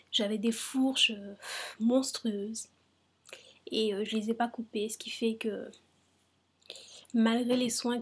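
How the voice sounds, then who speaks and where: A woman whispers. Her pace is very slow. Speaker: hair care vlogger. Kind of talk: casual talk to camera. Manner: whispered; hesitant, many fillers.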